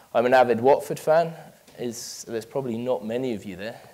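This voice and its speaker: A man with a London accent, medium pitch, and a very fast pace. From London, England. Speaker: business manager giving a talk. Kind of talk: conference presentation. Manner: hesitant, many fillers.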